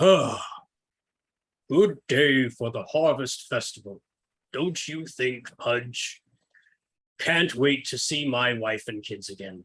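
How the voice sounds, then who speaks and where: A man's put-on character voice at a medium pitch, fairly slow in pace, with long, frequent pauses. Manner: warm, cheerful.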